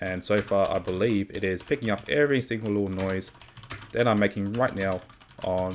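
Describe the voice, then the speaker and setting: Light background noise sits behind a man who speaks with long, frequent pauses. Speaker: tech youtuber testing a microphone plugin. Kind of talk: tutorial. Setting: home room with open window. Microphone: USB microphone, with and without noise filtering.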